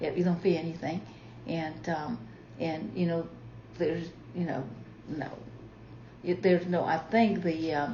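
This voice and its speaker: With noticeable background noise behind her, a woman speaks at a fairly slow pace in a fairly low voice, using ordinary pitch variation and long, frequent pauses. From Marshall Islands. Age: 70s. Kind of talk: interview answer. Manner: hesitant, many fillers.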